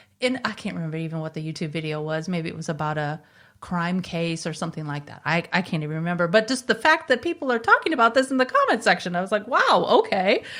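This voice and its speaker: In an American accent, a woman speaks at a very fast pace with lively intonation and big swings in loudness. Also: fairly low pitch for a woman, hardly any pauses. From US South (Bible Belt). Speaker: podcast host. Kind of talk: interview.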